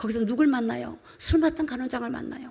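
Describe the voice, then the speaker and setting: A woman's animated voice at a moderate pace. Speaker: pastor. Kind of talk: sermon. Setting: church.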